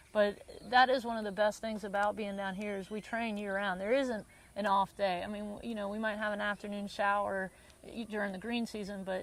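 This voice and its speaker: With a Southern US accent, a woman speaks at medium pitch in a monotone, flat intonation. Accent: southern drawl. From US South (North Carolina, early years in Bermuda). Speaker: tennis teaching pro. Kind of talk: interview. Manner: frequent repetitions and restarts.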